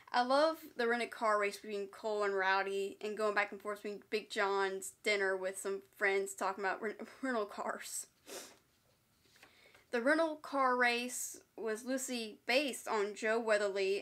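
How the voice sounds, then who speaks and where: Against a quiet background, the voice moves at a moderate pace with ordinary pitch variation. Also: woman. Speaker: movie reviewer. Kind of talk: casual review commentary. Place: home room. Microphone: phone near.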